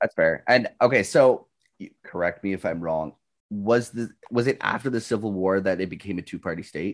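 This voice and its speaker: In a Canadian accent, a man with a normal speaking voice talks at a moderate pace and fairly low pitch with ordinary pitch variation, on a very clean recording with a silent background. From Canada, northern Ontario. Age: 20s. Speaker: Twitch streamer. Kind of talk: casual chat.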